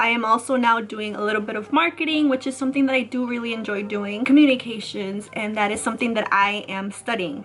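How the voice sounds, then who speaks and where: Fairly high-pitched and animated in tone, a woman with an American accent speaks at a fairly quick pace against noticeable background noise. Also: hardly any pauses. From US Midwest, Chicago suburbs (Illinois). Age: 20s. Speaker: YouTuber. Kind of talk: casual vlog talk.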